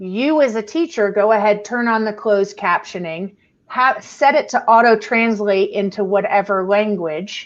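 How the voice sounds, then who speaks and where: A woman with an ordinary speaking voice talks at a fairly high pitch and a moderate pace, with ordinary pitch variation and hardly any pauses. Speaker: educational technology presenter. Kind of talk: webinar tutorial.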